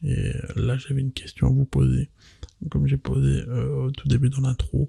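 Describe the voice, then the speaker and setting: Soft-spoken and gentle in tone, a man talks at a fairly slow pace in a dry, close sound with no echo. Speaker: ASMR content creator. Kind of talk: casual talk to camera, ASMR chat. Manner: soft-spoken, quiet, gentle.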